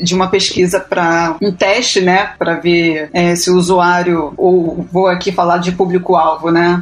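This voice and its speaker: A woman's fairly low voice with a Rio de Janeiro accent, at a fairly slow pace, over noticeable background noise. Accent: carioca accent, noticeable. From Rio de Janeiro, Brazil. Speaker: UX researcher. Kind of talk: casual panel discussion.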